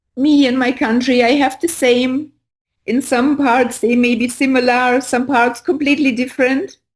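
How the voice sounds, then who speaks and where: A woman with a non-native accent speaks at a moderate pace in a high voice. Her loudness stays very even and her intonation is monotone and flat. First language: not English. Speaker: spiritual teacher. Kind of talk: casual chat. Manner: halting.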